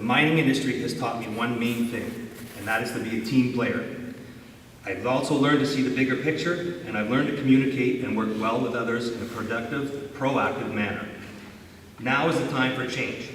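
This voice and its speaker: Fairly quick speech from a man with a Canadian accent, fairly even in intonation, with audible room echo and noticeable background noise. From Northern Ontario, Canada. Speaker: municipal election candidate. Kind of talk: prepared campaign speech. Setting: candidates debate before an audience.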